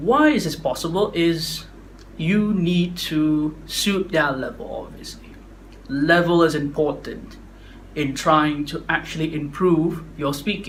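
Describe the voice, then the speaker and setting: Speech moves at a very slow pace with fairly even intonation. Audible room echo is present. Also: man, fairly high pitch for a man. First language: not English. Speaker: public speaking vlogger. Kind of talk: casual talk to camera. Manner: halting, stuttery.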